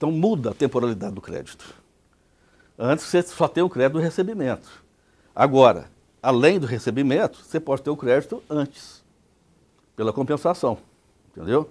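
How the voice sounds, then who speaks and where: A man with a fairly high pitch speaks with long, frequent pauses on a very clean recording with a silent background. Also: lively intonation, moderate pace. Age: 60s. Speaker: tax expert lecturer. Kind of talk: lecture. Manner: conversational, rhetorical questions.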